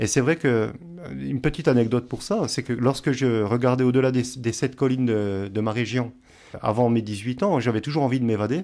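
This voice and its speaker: A man talks at a medium pitch with ordinary pitch variation and a dark, mellow tone. The recording is very clean, with a silent background. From eastern France, Franche-Comté near Swiss border. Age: 50s. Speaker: novelist, teacher and former soldier. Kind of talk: radio interview. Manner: hesitant, many fillers.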